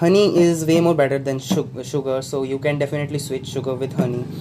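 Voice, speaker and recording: A man with a Tripura accent speaks at a moderate pace in a fairly high pitch, his intonation fairly even over light background noise. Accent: Indian English (Tripura). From North Tripura, India. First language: not English. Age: 20s. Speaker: student. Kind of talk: casual cooking vlog talk to camera. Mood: relaxed, playful. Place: kitchen. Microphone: phone near.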